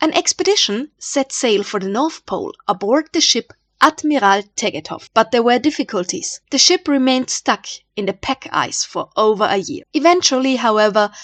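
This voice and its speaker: In an Austrian accent, a woman with a high pitch talks at a moderate pace, her pitch swinging very widely, in a dry, close sound with no echo. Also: quiet background. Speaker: history YouTuber. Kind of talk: scripted narration.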